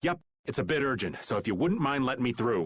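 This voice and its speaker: Growling in a put-on character voice, a man races along at a very fast pace with lively intonation at a medium pitch. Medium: video game. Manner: casual, wry.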